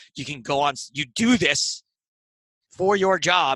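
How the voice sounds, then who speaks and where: Here a man with an American accent speaks in a bright, sharp tone. The recording is very clean with a silent background, and the sound is dry and close with no echo. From upstate New York. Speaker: comedian and poker TV commentator. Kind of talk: interview conversation. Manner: animated.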